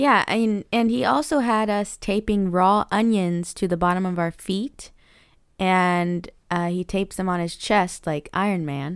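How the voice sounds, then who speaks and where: With an ordinary speaking voice, a woman talks fairly slowly at medium pitch and ordinary pitch variation on a very clean recording with a silent background. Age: 30s.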